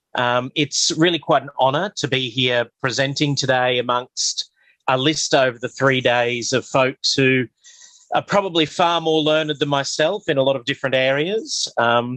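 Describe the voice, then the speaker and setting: Bright and sharp in tone, a man with an Australian accent speaks at a fairly high pitch with ordinary pitch variation, the sound dry and close with no echo. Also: moderate pace. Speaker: bishop and parish priest. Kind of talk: lecture; guided meditation. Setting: video call from a metal shed on a hotspot.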